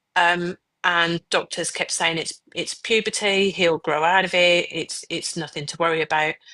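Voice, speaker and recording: A woman with a Birmingham accent speaks at a moderate pace in a fairly low, bright, sharp voice with monotone, flat intonation, the sound dry and close with no echo against a quiet background. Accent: Birmingham accent, noticeable. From Birmingham, England. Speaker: mother of a child with cancer. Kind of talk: personal testimony in a podcast interview. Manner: hesitant, with fillers and repeats.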